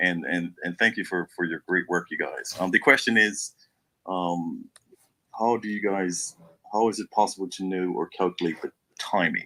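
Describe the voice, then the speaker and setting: Very deep and low, this man's voice has a bright, sharp tone and fairly even intonation at a moderate pace. The sound is dry and close, with no echo. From Bermuda. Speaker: audience member asking a question. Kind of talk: question from audience. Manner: halting, many repetitions.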